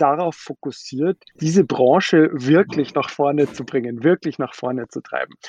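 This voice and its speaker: A man's fairly high voice in a dark, mellow tone at a moderate pace, with ordinary pitch variation and a dry, close sound with no echo. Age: 30s. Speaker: startup founder and CEO. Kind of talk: interview.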